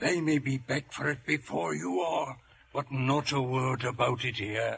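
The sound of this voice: A man's put-on character voice, medium in pitch and fairly bright in tone, with vocal fry, a slightly husky edge, fairly even intonation and a fairly slow pace.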